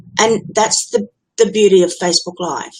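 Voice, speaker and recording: A woman's medium-pitched voice with an Australian accent. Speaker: business automation consultant. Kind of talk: Facebook Live tutorial monologue. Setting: live stream, webcam. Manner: casual, direct.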